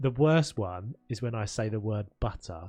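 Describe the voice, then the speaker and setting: A man with a South London accent speaks at a moderate pace and fairly low pitch. His pitch varies in an ordinary way, with music in the background. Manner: drops consonants, glottal stops.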